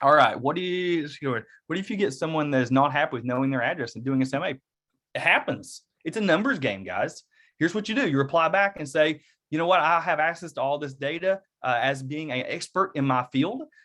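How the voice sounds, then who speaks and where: Against a quiet background, a man with an Eastern Kentucky accent talks at a fairly quick pace in a fairly high, bright, sharp voice with ordinary pitch variation. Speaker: real estate agent and workshop presenter. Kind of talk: online workshop with live Q&A. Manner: casual, conversational.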